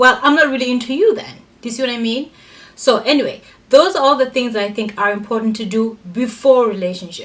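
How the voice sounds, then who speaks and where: Loud and animated, a woman with a high pitch and ordinary pitch variation speaks at a very fast pace. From Africa. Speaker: vlogger. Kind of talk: casual advice monologue.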